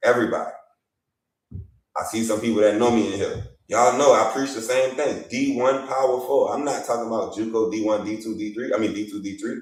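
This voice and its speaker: With a Louisiana accent, a man speaks at a fairly quick pace with ordinary pitch variation, and room echo is audible. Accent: Louisiana accent, unfaked. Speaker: basketball media journalist and evaluator. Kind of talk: live stream talk show. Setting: livestream. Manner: animated.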